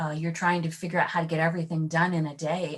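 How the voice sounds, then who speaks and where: Somewhat breathy woman's voice, fairly low in pitch. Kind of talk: podcast interview.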